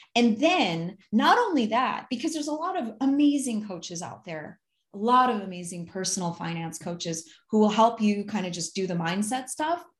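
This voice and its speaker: With an American accent, a woman speaks at a moderate pace in a fairly high, somewhat breathy voice with very wide pitch swings over a quiet background. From US Midwest (Ann Arbor, Michigan). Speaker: accountant and finance advisor. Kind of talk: casual interview chat.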